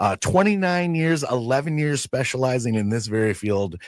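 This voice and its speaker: An ordinary speaking voice from a man at medium pitch, moderate pace and lively intonation, on a very clean recording with a silent background. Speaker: radio show host. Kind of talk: radio host interview talk.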